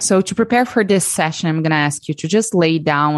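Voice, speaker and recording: A woman's very deep, low voice with lively intonation, dry and close with no echo. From Brazil. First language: Portuguese. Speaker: breathwork facilitator. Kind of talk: interview and guided breathwork session.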